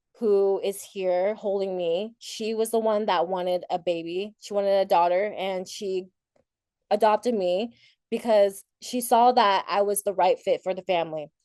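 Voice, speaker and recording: Against a quiet background, a woman speaks at medium pitch and a moderate pace, with fairly even intonation. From Thailand, raised in Portland, Oregon. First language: Thai. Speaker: keynote speaker, para athlete. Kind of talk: keynote talk.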